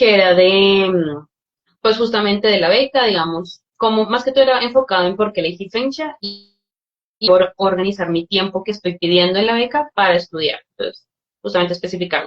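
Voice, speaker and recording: The woman has an ordinary speaking voice at a medium pitch. She talks at a fairly quick pace with ordinary pitch variation. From Colombia. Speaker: scholarship recipient, student. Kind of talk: webinar Q&A answers.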